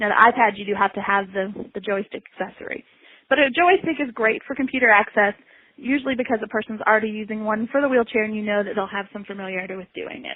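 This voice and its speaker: A woman with a slight Southern US accent talks at a very fast pace and a fairly high pitch. Her pitch variation is ordinary, while her loudness swings widely. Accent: slight Southern American. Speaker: assistive technology specialist. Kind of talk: webinar presentation. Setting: online webinar.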